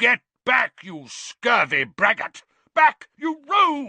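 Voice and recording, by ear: A man shouts slowly in a put-on character voice, pitched extremely high, with vocal fry and big pitch swings. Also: dry, close sound with no echo, bright, sharp tone.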